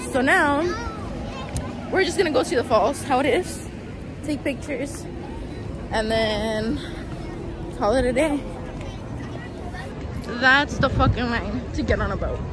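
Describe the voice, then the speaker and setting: Music plays in the background as a woman speaks at a fairly slow pace with long, frequent pauses and ordinary pitch variation, the sound dry with no echo. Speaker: travel vlogger. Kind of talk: casual vlog chat. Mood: frustrated, annoyed. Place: street. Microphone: phone near.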